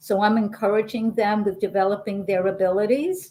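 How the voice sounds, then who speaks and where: Pitched fairly high, a woman speaks with a New York accent. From New York, Brooklyn. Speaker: intuitive healer. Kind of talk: interview. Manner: animated.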